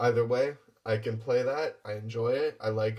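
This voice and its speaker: The man's voice is somewhat breathy, with fairly even intonation. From western Canada, small town. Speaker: actor. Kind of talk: audition application talk to camera. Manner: words run together.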